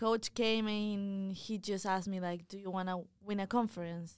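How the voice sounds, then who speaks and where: Speaking with a non-native accent, a woman holds a medium pitch in a monotone, flat intonation. The recording is very clean, with a silent background. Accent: foreign-accented English. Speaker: college tennis player. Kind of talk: casual interview.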